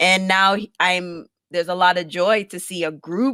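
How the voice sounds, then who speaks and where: A woman with a Jamaican accent speaks at a medium pitch in a bright, sharp tone, the sound dry and close with no echo. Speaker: podcaster and producer. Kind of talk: casual interview chat.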